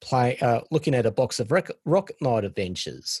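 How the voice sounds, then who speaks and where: In an Australian accent, the somewhat breathy voice moves at a moderate pace with lively intonation, dry and close with no echo. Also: man. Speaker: former game hotline counselor and collector. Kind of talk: interview.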